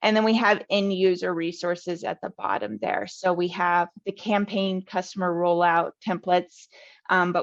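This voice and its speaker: In a normal speaking voice with fairly even intonation, a woman keeps to a medium pitch and a moderate pace. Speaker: customer success webinar presenter. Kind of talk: webinar presentation and Q&A. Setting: online webinar.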